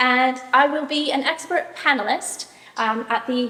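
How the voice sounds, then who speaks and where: The voice comes through loud over noticeable background noise. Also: woman. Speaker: ADHD mentor and professional organizer. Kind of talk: talk to a live audience.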